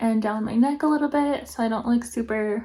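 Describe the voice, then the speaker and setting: A quiet woman's voice, fairly high in pitch, with fairly even intonation. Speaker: beauty vlogger. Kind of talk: makeup tutorial review. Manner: casual.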